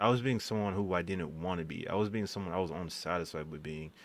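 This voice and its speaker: Very deep and low, a man's voice moves with ordinary pitch variation. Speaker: vlogger. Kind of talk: personal storytime vlog. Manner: halting, self-interrupting; casual, filler-heavy.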